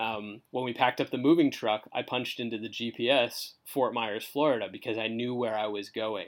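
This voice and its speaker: A normal speaking voice with a Canadian accent moves at a moderate pace with fairly even intonation. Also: man. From Canada (southern Ontario). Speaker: church marketing director. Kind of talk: casual interview.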